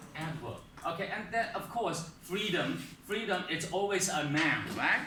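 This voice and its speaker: Speaking with a non-native accent in a raised, projected voice, a man talks fairly slowly with very wide pitch swings, amid audible room echo and noticeable background noise. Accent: foreign accent, non-native. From outside English-speaking world. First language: not English. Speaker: English teacher. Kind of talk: lesson. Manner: hesitant, many fillers.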